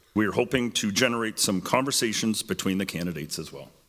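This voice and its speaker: A man with a Canadian accent speaks in a booming, fairly low voice. His moderate pace is paired with lively intonation. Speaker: debate moderator. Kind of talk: public event moderation.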